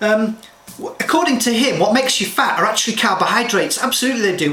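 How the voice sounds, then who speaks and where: A man's raised, projected voice, high-pitched and animated, at a very fast pace, with audible room echo and noticeable background noise. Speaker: health and nutrition advisor. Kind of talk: direct-to-camera talk.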